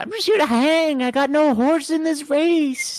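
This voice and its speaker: In a put-on character voice, the speaker sounds squeaky and high-pitched at a moderate pace. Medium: game stream. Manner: casual, teasing, smug.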